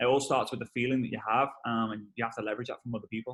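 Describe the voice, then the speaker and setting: The speaker has a Liverpool accent and an animated tone. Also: man. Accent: Liverpool (Scouse) English. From northern England, Liverpool. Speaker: network marketing trainer. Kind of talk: webinar interview. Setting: video call. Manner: fast.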